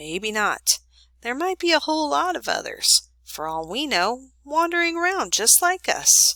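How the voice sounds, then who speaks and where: A woman's put-on character voice in a rural American accent, high-pitched with very wide pitch swings, at a moderate pace. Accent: rural American folk speech. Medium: read story. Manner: measured, earnest.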